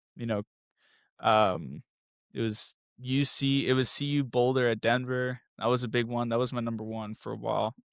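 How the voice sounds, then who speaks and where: With a Spanish accent, a man of medium pitch speaks on a very clean recording with a silent background and a dry, close sound with no echo. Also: fairly even intonation, moderate pace. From US South, moved around. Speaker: architecture student, former track athlete. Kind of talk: casual interview. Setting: podcast.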